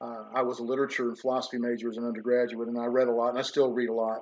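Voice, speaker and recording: A man with a Tennessee accent talks at a very fast pace. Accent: Southern American (Tennessee). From US South, Memphis, Tennessee. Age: 60s. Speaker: professor. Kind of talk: lecture. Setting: online livestream. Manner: conversational, unscripted.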